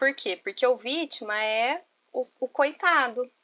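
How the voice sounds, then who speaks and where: In a strong Minas Gerais accent, a woman speaks at a fairly high pitch with lively intonation and a bright, sharp tone, in a dry, close sound with no echo. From Minas Gerais, Brazil. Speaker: teacher and study group leader. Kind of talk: online class discussion. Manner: informal, colloquial.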